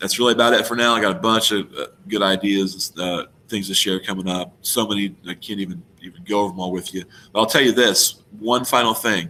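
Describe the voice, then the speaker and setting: A man mumbles at a fairly quick pace, his fairly low voice carrying a bright, sharp tone. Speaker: treasure hunting vlogger. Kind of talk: casual video monologue. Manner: mumbling; animated, excited.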